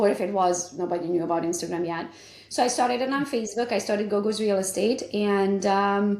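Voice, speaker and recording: Audible room echo surrounds a woman speaking at a fairly quick pace. Her pitch is medium, with ordinary variation. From Romania. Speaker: realtor and business coach. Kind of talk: interview.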